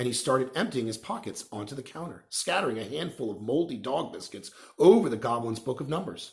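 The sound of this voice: A man at medium pitch, with lively intonation, vocal fry and a fairly quick pace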